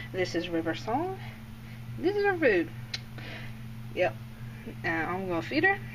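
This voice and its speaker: A woman talks with an American accent. Noticeable background noise runs underneath. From Indiana. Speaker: snake keeper. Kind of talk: casual talk over a feeding video. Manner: hesitant, many fillers.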